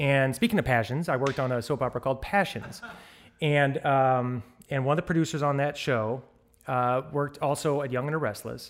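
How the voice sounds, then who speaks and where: The pace runs fairly quick and the pitch varies in an ordinary way, in a normal speaking voice. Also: man, fairly high pitch for a man. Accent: American. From US Midwest, St. Louis, Missouri. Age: 40s. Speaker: television director. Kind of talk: interview conversation.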